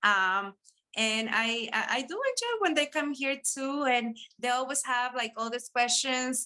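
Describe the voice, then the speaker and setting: A woman with a Spanish accent speaks at a fairly slow pace in a high pitch, her tone bright and sharp. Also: ordinary pitch variation. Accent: Spanish accent in English, noticeable. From Peru. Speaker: beauty business owner. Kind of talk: interview.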